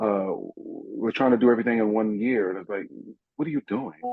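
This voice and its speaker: A man talks in a New York accent. His pitch is medium. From New York, Brooklyn (Coney Island). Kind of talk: casual chat.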